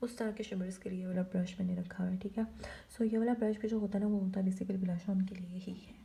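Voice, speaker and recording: Somewhat breathy and dark, mellow in tone, a woman speaks at a medium pitch with monotone, flat intonation. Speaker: beauty vlogger. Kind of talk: makeup tutorial. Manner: soft-spoken, quiet so baby won't wake.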